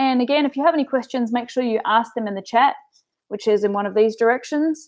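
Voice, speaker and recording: In a New Zealand accent, a woman talks at a high pitch with ordinary pitch variation. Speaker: business coach. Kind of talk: webinar presentation. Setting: online webinar. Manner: casual, filler-heavy.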